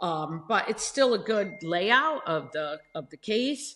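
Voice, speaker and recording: A woman talks at a loud volume. Her voice has a bright, sharp tone. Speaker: podcast host and truck driver. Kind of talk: casual monologue.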